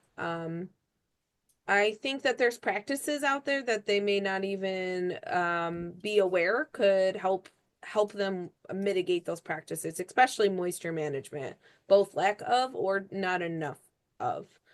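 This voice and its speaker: In an unremarkable speaking voice, a woman talks at a fairly slow pace and medium pitch with lively intonation against a quiet background. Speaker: extension agricultural advisor. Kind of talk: webinar Q&A answer.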